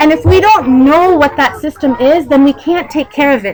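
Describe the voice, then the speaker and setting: A loud, animated voice with an American accent and lively intonation, over noticeable background noise. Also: woman. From United States. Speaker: Islamic lecturer. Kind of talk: religious talk to women's gathering. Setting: community event hall.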